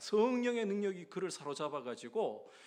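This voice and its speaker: A man with a Gyeongsang accent, very wide pitch swings and a fairly slow pace. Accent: Gyeongsang regional Korean. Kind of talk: sermon-like, preaching.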